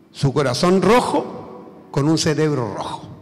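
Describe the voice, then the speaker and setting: A man with high pitch and ordinary pitch variation is heard with audible room echo and noticeable background noise. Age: 70s. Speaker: academic conference speaker. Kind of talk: lecture. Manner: hesitant, with fillers.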